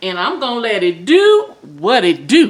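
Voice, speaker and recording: Loud and animated, a woman's voice comes through. She takes a fairly slow pace. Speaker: home cooking vlogger. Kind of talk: casual cooking tutorial.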